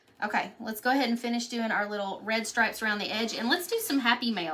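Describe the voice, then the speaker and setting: Here is a woman with an American accent. Her pitch is fairly high, with ordinary variation. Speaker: craft painting teacher. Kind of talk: live painting tutorial. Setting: live stream. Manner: casual, chatty.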